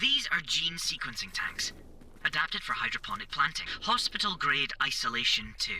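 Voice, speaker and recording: Delivered at a moderate pace, this put-on character voice sits fairly high in pitch over clear background noise. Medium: machinima. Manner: precise, matter-of-fact.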